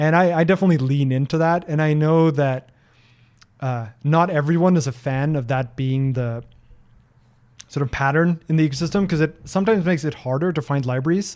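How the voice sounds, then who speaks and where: A man speaks with a slight Norwegian accent. His pitch is fairly high. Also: ordinary pitch variation, fairly quick pace. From Norway. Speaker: software developer and streamer. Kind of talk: live-stream Q&A. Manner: hesitant, with many fillers and repeats.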